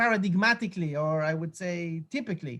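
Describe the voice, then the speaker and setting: The speaker has an Israeli accent. The pace is moderate. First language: Hebrew. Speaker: lecturer. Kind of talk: lecture. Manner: halting.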